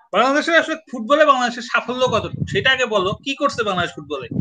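A man speaks in a raised, projected voice. His pitch is extremely high. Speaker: writer and live-stream host. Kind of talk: casual chat. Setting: online live stream.

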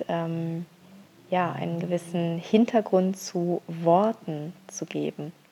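A woman speaks at a very slow pace in a fairly low pitch with fairly even intonation. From Bavaria, Augsburg. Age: 30s. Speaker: illustrator and graphic recorder. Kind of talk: prepared monologue. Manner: hesitant fillers.

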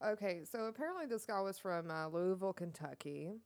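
A woman talks in a plain, everyday voice. Her pitch variation is ordinary. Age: 30s. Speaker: podcast co-host. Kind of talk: casual chat.

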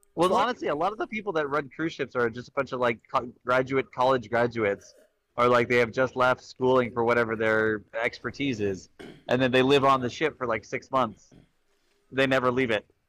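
At a fairly quick pace, a man speaks at medium pitch with ordinary variation in a dry, close sound with no echo. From California. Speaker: comedy podcast co-host. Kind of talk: casual comedic banter. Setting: remote call from a cruise ship. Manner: halting.

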